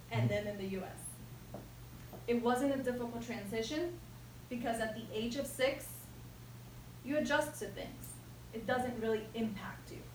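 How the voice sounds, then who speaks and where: A woman with long, frequent pauses and big swings in loudness, amid audible room echo. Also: moderate pace. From Jersey City, New Jersey (born Ecuador, moved at six). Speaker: toastmasters speaker. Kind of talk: prepared speech.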